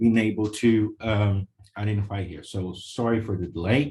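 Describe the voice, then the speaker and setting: Somewhat breathy and fairly low in pitch, a man with a Portuguese accent speaks at a fairly slow pace. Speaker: lawyer. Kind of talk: webinar presentation. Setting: video call. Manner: hesitant, many fillers.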